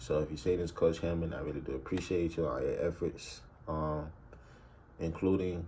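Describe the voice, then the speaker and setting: A very deep, low male voice in an American accent, monotone and flat. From US South, Albany, Georgia. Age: 20s. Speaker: rapper and college student. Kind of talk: casual vlog monologue. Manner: casual, hesitant with many fillers.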